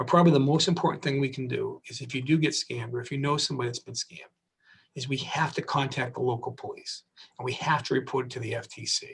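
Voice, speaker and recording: Talking very fast, a man with a fairly high pitch sounds somewhat breathy and keeps his intonation fairly even. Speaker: district attorney. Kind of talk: public safety talk.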